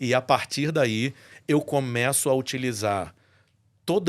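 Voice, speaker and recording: Heard on a very clean recording with a silent background, a man has an unremarkable speaking voice at a medium pitch with ordinary pitch variation. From Brazil, Rio de Janeiro. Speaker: voice-over announcer and church musician. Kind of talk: testimony in podcast interview.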